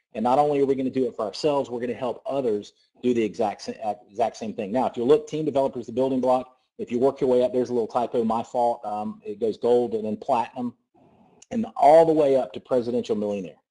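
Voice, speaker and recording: Against a quiet background, a man with a Southern US accent talks very fast in a dark, mellow tone at a medium pitch with ordinary pitch variation. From US South. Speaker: network marketing presenter. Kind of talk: sales pitch. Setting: conference call. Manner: animated.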